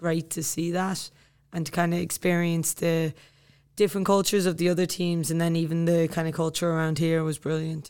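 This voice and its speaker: With an Irish accent, a woman talks at a moderate pace in a fairly low pitch, her intonation monotone and flat, on a very clean recording with a silent background. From Ireland. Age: 20s. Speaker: army officer and soccer player. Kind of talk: casual interview.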